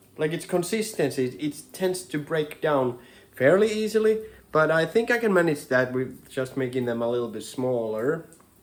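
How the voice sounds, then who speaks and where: Speaking in a Finnish accent, a man moves at a moderate pace. His fairly high pitch makes very wide swings. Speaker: home cooking vlogger. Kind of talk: casual cooking tutorial. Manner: halting, many repetitions and fillers.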